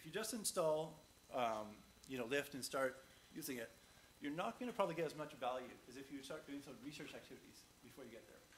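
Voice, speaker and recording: A man's very fast, somewhat breathy speech at a fairly high pitch, with ordinary pitch variation, big swings in loudness, and light background noise. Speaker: conference speaker. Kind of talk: conference talk; audience Q&A. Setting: stage with audience. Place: hall.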